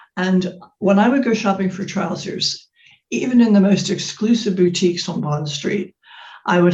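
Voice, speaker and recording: A woman's mid-range voice keeps an average speed, with pitch that shifts in a normal way. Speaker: fashion brand founder and life coach. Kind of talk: interview conversation. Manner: hesitant, many fillers.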